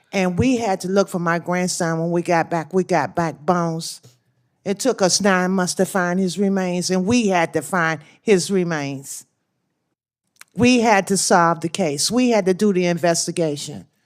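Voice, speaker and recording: An ordinary speaking voice with an American accent moves at a moderate pace with ordinary pitch variation, in a very clean recording with a silent background. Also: woman, fairly low pitch for a woman. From Washington, D.C. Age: 60s. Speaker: crime victim's grandmother testifying. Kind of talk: testimony. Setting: senate hearing.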